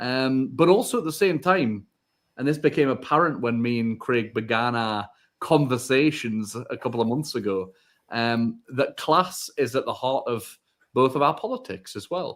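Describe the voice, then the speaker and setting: This man speaks at a moderate pace with a northeast England accent, his voice medium in pitch. His pitch varies in an ordinary way, and the recording is very clean with a silent background. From northern England, Northumberland. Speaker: podcast co-host. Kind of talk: live podcast chat.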